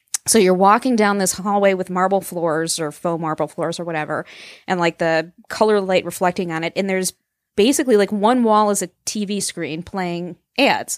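An ordinary speaking voice from a woman at medium pitch, with ordinary pitch variation and a moderate pace, in a dry, close sound with no echo on a very clean recording with a silent background. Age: young. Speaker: romance blogger. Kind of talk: casual chat.

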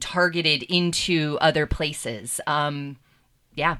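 At a fairly slow pace, a woman with a very deep, low pitch and a bright, sharp tone speaks with fairly even intonation in a very clean recording with a silent background. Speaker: attorney and editor. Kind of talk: panel discussion. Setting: studio.

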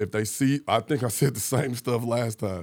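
Over a very clean recording with a silent background, a man of medium pitch talks in an unremarkable speaking voice. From St. Louis, Missouri, US. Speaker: former police officer, community organizer. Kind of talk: casual chat. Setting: studio.

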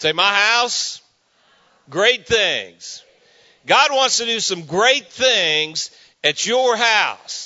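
Speaking very slowly with long, frequent pauses, a man uses a high pitch and lively intonation. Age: 50s. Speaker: guest preacher. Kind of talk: sermon. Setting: church. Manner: animated.

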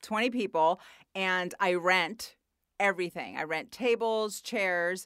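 At a very slow pace, a woman speaks in a medium pitch. The recording is very clean, with a silent background. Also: ordinary pitch variation. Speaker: podcast host and comedian. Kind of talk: casual interview. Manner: loud.

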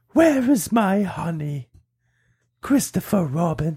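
This is a put-on character voice at a middle pitch. It moves at a fairly slow pace.

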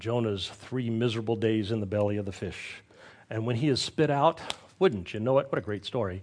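A man keeps to a medium pitch and ordinary pitch variation while talking fairly quickly. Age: 60s. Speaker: pastor. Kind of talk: sermon.

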